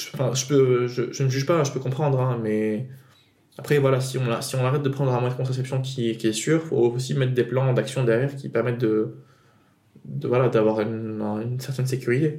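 A man with a dark, mellow tone, somewhat breathy, with fairly even intonation. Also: medium pitch for a man, fairly quick pace. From Tunisia. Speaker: podcast guest. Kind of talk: personal testimony. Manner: halting.

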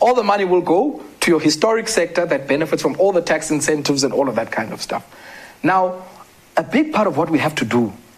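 Over noticeable background noise, a man talks at a fairly quick pace in a fairly high voice with lively intonation. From South Africa, Eastern Cape (Queenstown area). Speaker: development economist and author. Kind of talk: interview.

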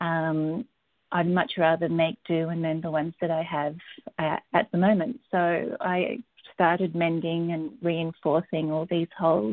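A woman with an Australian accent, fairly low in pitch, at a fairly slow pace with fairly even intonation. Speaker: textile artist and teacher. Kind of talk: interview.

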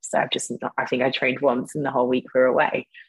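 In a British accent, a woman speaks at a fairly quick pace, the sound dry and close with no echo. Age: 30s. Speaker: online fitness coach and nutritionist, former bodybuilding competitor. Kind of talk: casual interview.

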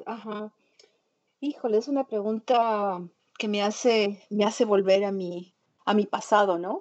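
A woman with a fairly high pitch speaks at a fairly slow pace with fairly even intonation. She leaves long, frequent pauses. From Ecuador. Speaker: printmaker and multidisciplinary artist. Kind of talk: interview conversation. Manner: halting, many fillers and repetitions.

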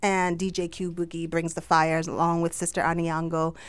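Speaking in a Jamaican accent, a woman sounds animated at a fairly low pitch, in a very clean recording with a silent background. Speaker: entrepreneur and business summit organizer. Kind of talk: casual interview chat. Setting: radio studio. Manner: animated, laughs often.

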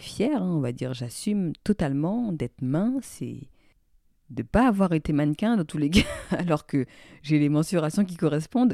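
Everything is very clean, with a silent background. The delivery keeps a moderate pace. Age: 20s. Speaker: psychologist podcast host. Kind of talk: solo podcast monologue, informal explainer.

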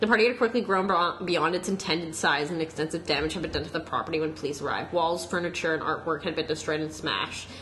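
A woman speaks very fast in a fairly low voice, with noticeable background noise behind her. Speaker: podcast co-host. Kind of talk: casual chat.

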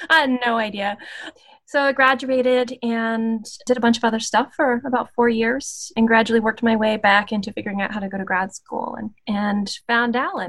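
A woman talks at a moderate pace in an ordinary speaking voice, her intonation fairly even. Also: fairly high pitch for a woman. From US South, Appalachia (West Virginia/Virginia border). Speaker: anthropology professor. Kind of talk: interview.

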